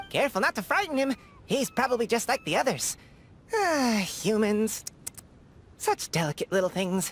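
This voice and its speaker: A female-sounding, put-on character voice, fairly high in pitch, with long, frequent pauses. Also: moderate pace. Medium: video game. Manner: smug, teasing.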